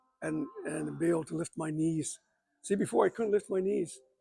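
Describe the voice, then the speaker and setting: Backed by music, a man keeps a moderate pace. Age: 60s. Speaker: basketball coach and inventor. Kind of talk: casual interview. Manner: halting.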